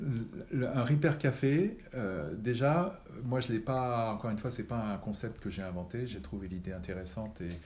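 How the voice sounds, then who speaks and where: A man speaks with lively intonation over music in the background. The room gives audible echo. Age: 60s. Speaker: retired engineer, repair café founder. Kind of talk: interview. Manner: halting.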